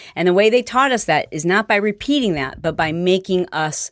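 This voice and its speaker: A plain, everyday voice with lively intonation at a moderate pace, on a very clean recording with a silent background. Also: woman, hardly any pauses. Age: 50s. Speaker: fitness entrepreneur and motivational speaker. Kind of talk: interview.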